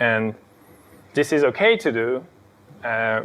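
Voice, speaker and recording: A man's unremarkable speaking voice at medium pitch with fairly even intonation. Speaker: software engineer giving a lecture. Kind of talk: lecture.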